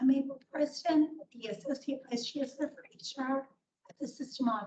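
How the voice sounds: A woman's put-on character voice, high-pitched and raspy, at a moderate pace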